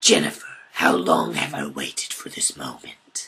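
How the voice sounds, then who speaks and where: In a put-on character voice, a man speaks with a raspy sound at a moderate pace. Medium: audio drama. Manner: menacing, taunting.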